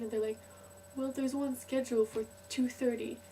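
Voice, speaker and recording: Against noticeable background noise, a woman speaks at a fairly quick pace with a fairly high pitch and monotone, flat intonation. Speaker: student in Scotland, travelled from Canada. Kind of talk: casual talk to camera.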